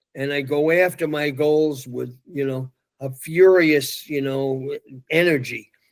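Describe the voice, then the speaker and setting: A man with a fairly high pitch and a New York accent speaks at a very slow pace with fairly even intonation, on a very clean recording with a silent background. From New York City. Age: 80s+. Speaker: youth motivational speaker. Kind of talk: interview.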